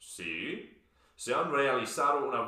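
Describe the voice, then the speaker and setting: This man talks at a very slow pace with a fairly high pitch and very wide pitch swings, in an English accent. Noticeable background noise and audible room echo fill the recording. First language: English (speaking Spanish). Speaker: Spanish learner, video presenter. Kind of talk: scripted dialogue.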